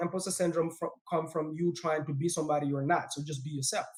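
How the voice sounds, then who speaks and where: With a non-native accent, a man talks at a fairly quick pace and hardly pauses at all. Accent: foreign. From West Africa, raised in a refugee camp. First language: not English; self-taught English, speaks four languages. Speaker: real estate investor. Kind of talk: podcast interview. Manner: animated.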